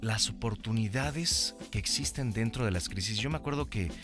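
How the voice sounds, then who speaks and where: With music in the background, a man with a fairly low pitch talks at a moderate pace and with lively intonation. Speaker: radio host. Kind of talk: podcast interview host.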